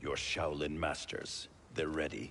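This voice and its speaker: Over clear background noise, a man uses a put-on character voice with a very deep, low pitch at a fairly slow pace. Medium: video game. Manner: stern.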